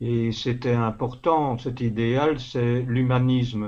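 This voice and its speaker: This man talks at a very slow pace. His voice sits at a medium pitch. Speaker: literary columnist and author. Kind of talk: interview. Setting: phone call.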